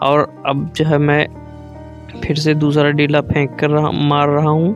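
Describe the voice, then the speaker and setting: Music can be heard behind the speaker. He is a man with a fairly high-pitched voice. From Sitapur, Uttar Pradesh. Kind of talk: casual vlog narration to camera.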